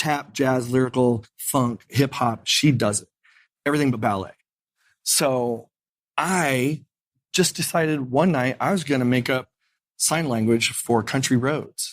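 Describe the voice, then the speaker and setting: A man with an Indiana accent talks at a fairly slow pace, leaving long, frequent pauses. His pitch varies in an ordinary way, and the recording is very clean with a silent background. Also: medium pitch for a man. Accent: Midwestern US (Indiana). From Indiana, Lafayette. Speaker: piano bar entertainer. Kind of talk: interview. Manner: animated.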